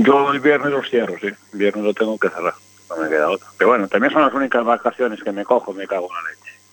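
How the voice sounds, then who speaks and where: At a very fast pace, a man with a medium pitch uses lively intonation and big swings in loudness against noticeable background noise. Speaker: motorcycle mechanic. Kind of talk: casual chat.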